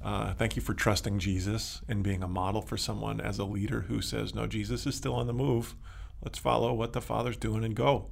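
A very deep, low male voice with vocal fry, very wide pitch swings and a fairly quick pace. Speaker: pastor and co-host. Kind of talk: casual interview chat.

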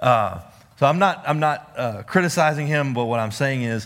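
In a Texan accent, a man talks at a moderate pace with a medium pitch and ordinary pitch variation. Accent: Texan Southern US. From East Texas. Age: 40s. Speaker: Bible study teacher. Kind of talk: Bible study lesson.

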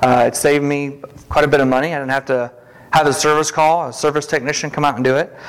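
A man's fairly high, monotone voice with flat intonation at a very fast pace, amid noticeable background noise. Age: 40s. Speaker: lay preacher. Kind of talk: sermon.

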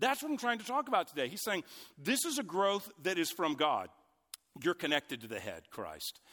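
A man's raised, projected voice, high-pitched with very wide pitch swings and a bright, sharp tone. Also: moderate pace, dry, close sound with no echo. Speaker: pastor. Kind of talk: sermon. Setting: church. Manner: loud.

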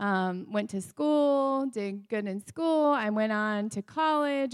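A woman speaks at a very slow pace with an American accent and a fairly high pitch. The recording is very clean, with a silent background. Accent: northern US accent others notice. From Wisconsin. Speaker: forensic DNA scientist, pastor's wife. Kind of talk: sermon testimony. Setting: church with congregation.

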